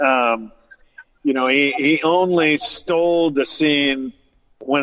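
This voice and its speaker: With a Californian accent, a man talks in a fairly even intonation. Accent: Californian American. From Southern California. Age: 60s. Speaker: cannabis grower and actor's brother. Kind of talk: interview. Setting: cannabis lounge radio studio. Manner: halting, many fillers.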